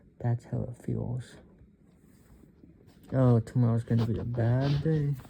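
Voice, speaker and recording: The man's voice is somewhat breathy, with a dark, mellow tone and a medium pitch. He speaks at a fairly slow pace with monotone, flat intonation. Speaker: vlogger. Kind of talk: casual monologue. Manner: halting.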